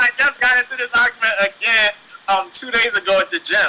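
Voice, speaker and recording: With music in the background, a man with a Washington DC accent speaks in a raised, projected voice at an extremely high pitch, with an animated tone, ordinary pitch variation and a fairly quick pace. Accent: US East Coast, DC-area urban speech. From Nigeria, raised in the DC area. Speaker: professional MMA fighter. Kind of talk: casual interview.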